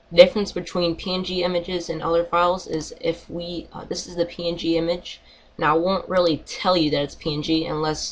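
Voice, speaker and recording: This woman's voice sits fairly low. Her intonation stays monotone and flat. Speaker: YouTube tutorial maker. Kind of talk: tutorial. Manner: fast; halting, many fillers.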